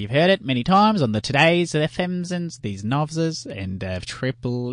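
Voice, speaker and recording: Very wide pitch swings at a fairly slow pace over a quiet background. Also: man. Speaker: comedic radio host. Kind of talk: comedy sketch radio show. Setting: studio.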